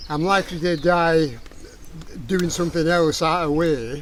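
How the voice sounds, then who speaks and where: A man talks at a fairly slow pace in a fairly high pitch, with noticeable background noise behind him. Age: 80s+. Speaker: father of the host, outdoorsman. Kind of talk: casual chat.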